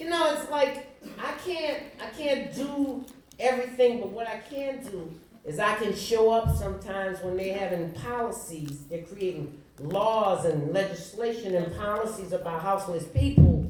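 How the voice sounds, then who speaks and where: A woman with an American accent, fairly high-pitched and fairly slow, with very wide pitch swings, audible room echo and noticeable background noise. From New Orleans, US South. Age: 80s+. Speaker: community organizer and guest speaker. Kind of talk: motivational speech. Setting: conference audience. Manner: animated.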